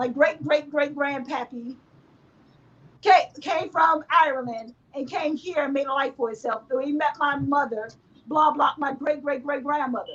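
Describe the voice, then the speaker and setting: A loud, animated woman's voice, high-pitched with ordinary pitch variation. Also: moderate pace. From United States. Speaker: gaming podcast co-host. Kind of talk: heated debate.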